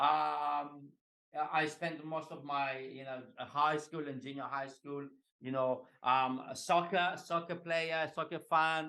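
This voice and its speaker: With a Greek accent, a man speaks at a fairly high pitch in a monotone with flat intonation. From Greece. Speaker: executive coach. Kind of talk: podcast interview.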